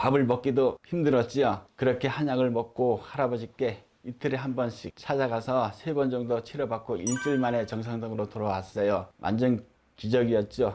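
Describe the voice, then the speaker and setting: A man speaks at a moderate pace in a medium pitch. His tone is dark and mellow, and his intonation stays fairly even. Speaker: shaman (Buddhist-style ritual master). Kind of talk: personal story told to camera. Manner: stutters at times.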